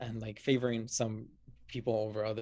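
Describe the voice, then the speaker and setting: A man with a Spanish accent talks at a fairly quick pace, his medium pitch held in a monotone, flat intonation. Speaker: podcast guest. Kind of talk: casual chat. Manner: halting, many fillers.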